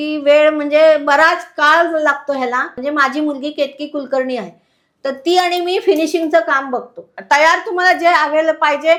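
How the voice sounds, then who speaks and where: Her voice is high-pitched, and the woman keeps her intonation fairly even. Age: 60s. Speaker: home seamstress selling puja goods. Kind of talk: product demonstration.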